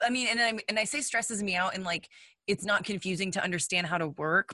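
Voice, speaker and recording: In a medium pitch with a bright, sharp tone and an American accent, a woman speaks at a fairly quick pace with ordinary pitch variation, the sound dry and close with no echo. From Texas. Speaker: podcast co-host. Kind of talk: casual chat.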